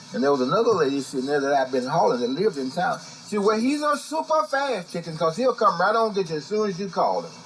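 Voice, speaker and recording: Over noticeable background noise, a man with a high pitch talks very fast with hardly any pauses and very wide pitch swings. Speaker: blues musician. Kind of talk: storytelling interview.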